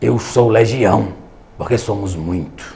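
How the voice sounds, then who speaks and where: A man does a put-on character voice, hoarse and raspy, at a fairly low pitch and a fairly slow pace. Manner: dark, ominous.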